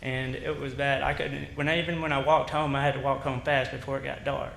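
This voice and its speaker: A man with an Alabama accent talks very fast in a fairly high, monotone, flat voice, with audible room echo and noticeable background noise. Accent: Southern US (Alabama). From US South. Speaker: resident speaking at public hearing. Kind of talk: public comment. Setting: city council meeting. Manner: halting.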